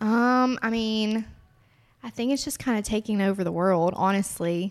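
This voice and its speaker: Recorded very cleanly over a silent background, a woman with a Southern US accent speaks at a moderate pace. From Alabama. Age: 20s. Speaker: cosmetics entrepreneur. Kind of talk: interview.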